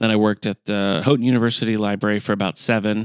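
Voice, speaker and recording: Very fast, monotone speech from a man with a fairly low pitch and an Upper Midwest accent, the intonation flat throughout. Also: dry, close sound with no echo, very clean recording, silent background. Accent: Upper Midwest American. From Michigan, US Midwest (Battle Creek). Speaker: library director. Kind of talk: casual chat.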